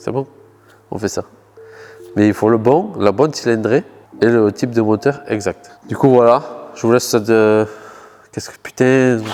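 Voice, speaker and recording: A man at a fairly slow pace with long, frequent pauses, medium pitch, ordinary pitch variation and big swings in loudness. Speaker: car youtuber. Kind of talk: casual vlog talk to camera. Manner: halting, searching for words.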